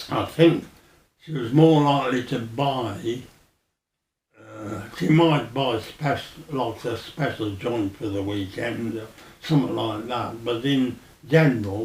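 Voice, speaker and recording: Speaking very slowly with long, frequent pauses, a man with a Birmingham accent uses a medium pitch and ordinary pitch variation, with audible room echo. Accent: Birmingham (Brummie). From Birmingham, Balsall Heath. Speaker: oral history interviewee. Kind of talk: oral history interview. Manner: halting.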